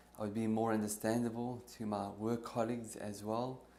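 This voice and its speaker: Audible room echo surrounds a man with a medium pitch. He talks at a moderate pace in a monotone, flat intonation. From South Africa. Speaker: theology teacher and former architect, stuttering therapy client. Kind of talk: interview testimony. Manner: fluent after therapy.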